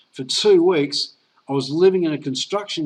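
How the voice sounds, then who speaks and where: Talking at a fairly quick pace, a man speaks with an Australian accent. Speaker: network marketer. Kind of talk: sales pitch. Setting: online presentation call.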